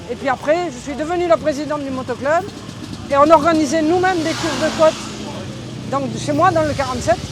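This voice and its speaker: At a fairly quick pace, a woman with a high pitch and a southern French accent speaks with long, frequent pauses over noticeable background noise. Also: fairly even intonation. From southwest France, Lot-et-Garonne. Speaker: amateur motorcycle hill-climb racer. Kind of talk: interview.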